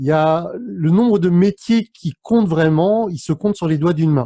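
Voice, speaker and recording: A man speaks at a moderate pace in a fairly high pitch, with a dark, mellow tone. The sound is dry and close with no echo, and his intonation is lively. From France, of Cambodian parents. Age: 30s. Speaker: YouTuber and entrepreneur. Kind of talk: interview. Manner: many hesitations (euh).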